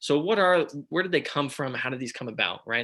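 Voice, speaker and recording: A man with a Texan accent, bright and sharp in tone, talking very fast on a very clean recording with a silent background. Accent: country accent (Texan). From Texas. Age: 20s. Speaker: startup founder. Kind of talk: startup pitch presentation.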